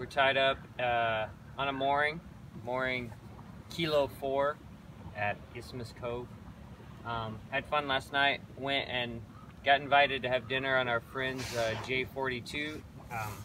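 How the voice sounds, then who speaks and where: At a very slow pace, a man speaks with long, frequent pauses and fairly even intonation, the sound dry with no echo over light background noise. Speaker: boat owner vlogger. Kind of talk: casual vlog chat. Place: boat.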